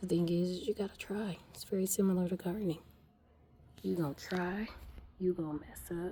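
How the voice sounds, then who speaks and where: A woman whispers at a moderate pace. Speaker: home gardener vlogger. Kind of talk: casual garden vlog. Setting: greenhouse. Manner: whispering.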